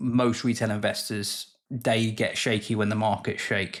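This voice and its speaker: A man with a British accent and a fairly low pitch speaks at a moderate pace. His intonation is monotone and flat, and the recording is very clean with a silent background. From UK. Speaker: investing YouTuber. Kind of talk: casual educational talk to camera.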